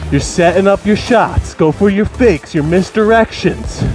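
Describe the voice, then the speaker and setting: Clear music in the background and a dry sound with no echo. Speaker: wrestling coach. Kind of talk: workout instruction. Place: home room. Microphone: headset.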